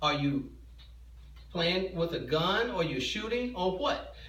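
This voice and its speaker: A man talks at a fairly slow pace in a bright, sharp tone, with audible room echo. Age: 60s. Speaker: parent in school dispute. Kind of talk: heated argument. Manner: agitated, interrupting, repeating words.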